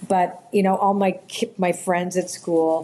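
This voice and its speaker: A woman with a Canadian accent speaks in a plain, everyday voice, fairly low in pitch, with fairly even intonation. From Canada, Toronto. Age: 60s. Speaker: author and spiritual intuitive. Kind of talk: podcast interview, personal storytelling.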